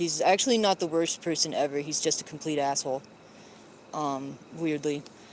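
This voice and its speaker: Noticeable noise in the background behind speech delivered at a moderate tempo. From Mississippi. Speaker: live streamer. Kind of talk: casual live stream chat reading comments. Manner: hesitant, many fillers.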